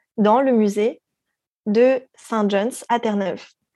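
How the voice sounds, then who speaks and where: This woman's voice has a dark, mellow tone and a fairly high pitch. Her intonation is fairly even. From France. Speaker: actress. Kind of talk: casual chat. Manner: halting.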